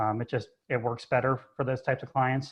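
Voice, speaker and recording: Speaking very fast, a man with a medium-pitched voice keeps a flat, monotone delivery. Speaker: trust advisor. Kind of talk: webinar presentation. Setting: video call from home office. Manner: loud.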